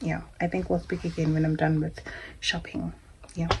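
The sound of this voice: A woman speaks low for a woman, with vocal fry and little pitch movement. Her tone is slightly mellow and her pace moderate.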